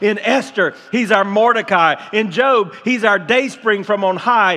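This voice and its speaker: A man's high-pitched, raised and projected voice, energetic in tone, at a moderate pace. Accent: American. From Tampa, Florida, USA. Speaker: pastor. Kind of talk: sermon preached to a congregation. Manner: energetic, building excitement. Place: church.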